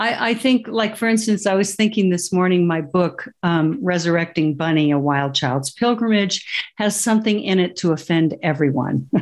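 Against a quiet background, a woman in an American accent uses a plain, everyday voice at medium pitch, with lively intonation, very even loudness, a moderate pace and hardly any pauses. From US West (Colorado). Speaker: author and spiritual teacher. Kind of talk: interview.

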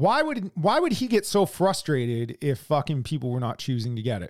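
This man has an American accent and a fairly high pitch. He speaks at a moderate pace with very wide pitch swings. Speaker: podcast co-host. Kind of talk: casual profane political chat. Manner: blunt, heavily profane, teasing.

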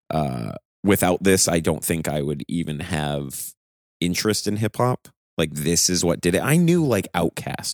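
Ordinary pitch variation in a dry, close sound with no echo. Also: man, very deep, low pitch for a man, moderate pace. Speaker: podcast host. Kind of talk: casual chat. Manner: casual, profane.

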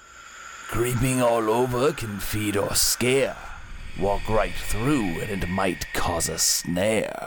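A man speaks in a put-on character voice at medium pitch and a very slow pace. Faint music plays in the background. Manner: eerie, riddling, ghostly.

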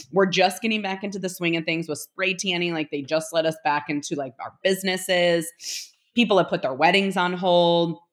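A woman's animated voice, fairly low in pitch, at a fairly quick pace. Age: 30s. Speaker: small business owner. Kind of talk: interview.

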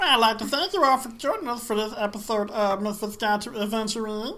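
In a put-on character voice, the speaker uses a fairly high pitch at a fairly quick pace over clear background noise. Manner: gruff, blustery.

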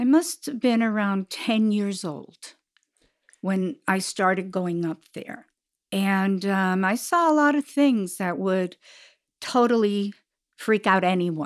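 Very slowly and with lively intonation, a woman at medium pitch speaks on a very clean recording with a silent background. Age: 70s. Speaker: mother of a podcast host. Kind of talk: casual chat.

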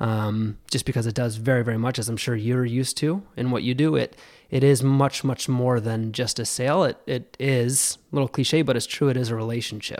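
A man with a normal speaking voice talks at a medium pitch and a fairly quick pace, with hardly any pauses and fairly even intonation. The recording is very clean, with a silent background. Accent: American. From western New York (Buffalo area). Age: 20s. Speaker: insurance sales executive. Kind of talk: casual interview chat. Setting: studio.

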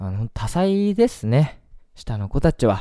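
A man talks with lively intonation and a dark, mellow tone. The recording is very clean, with a silent background. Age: 20s. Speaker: radio host. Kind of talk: casual monologue.

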